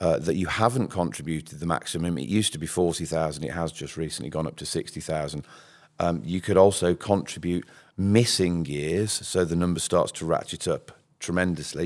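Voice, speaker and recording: On a very clean recording with a silent background, a man with a Birmingham accent talks at a moderate pace in a very deep, low pitch with ordinary pitch variation. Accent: Brummie. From Birmingham, England. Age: 50s. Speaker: pension scheme administrator. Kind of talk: podcast interview. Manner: animated.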